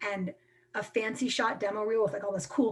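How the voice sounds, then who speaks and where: A woman with a fairly high voice talks very fast over noticeable background noise. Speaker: film workshop presenter, production company president. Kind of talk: live online workshop talk. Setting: video call. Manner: casual, filler-heavy.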